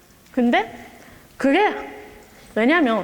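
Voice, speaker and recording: A woman's high voice with very wide pitch swings, at a very slow pace, over noticeable background noise. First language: Japanese (speaking Korean). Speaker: exchange student. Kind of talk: speech. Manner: halting.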